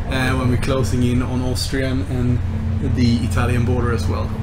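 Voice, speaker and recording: At a moderate pace, a man's voice comes through with music in the background. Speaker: travel vlogger. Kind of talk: casual vlog chat. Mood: cheerful, upbeat. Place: train. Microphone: phone near.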